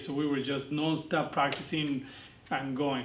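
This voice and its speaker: A man with a Spanish accent talks at a moderate pace. There is audible room echo and noticeable background noise. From Argentina. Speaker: dance instructor. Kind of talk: interview monologue. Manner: hesitant, many fillers.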